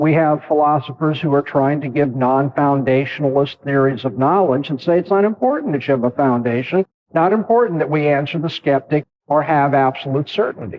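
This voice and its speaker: Delivery is fairly quick, with hardly any pauses. Loudness stays very even, and pitch varies in an ordinary way. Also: man, fairly high pitch for a man. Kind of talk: lecture. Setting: campus lecture hall with audience. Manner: fast.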